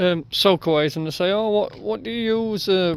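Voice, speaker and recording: Speaking at a moderate pace with ordinary pitch variation, a man has a Yorkshire accent. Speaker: builder. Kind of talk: tutorial. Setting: outdoors. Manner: casual.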